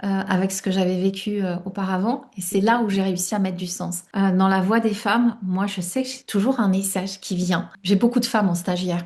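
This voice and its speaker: Speaking at a moderate pace, a woman uses a medium pitch and fairly even intonation, her voice somewhat breathy. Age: 60s. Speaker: life coach and author. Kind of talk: interview. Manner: hesitant, many fillers.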